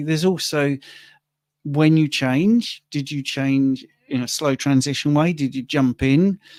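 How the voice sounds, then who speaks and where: With a plain, everyday voice, a man speaks at a moderate pace and fairly high pitch with ordinary pitch variation, in a very clean recording with a silent background and a dry, close sound with no echo. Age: 60s. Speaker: livestream co-host, carnivore diet influencer. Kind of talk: livestream Q&A. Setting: livestream.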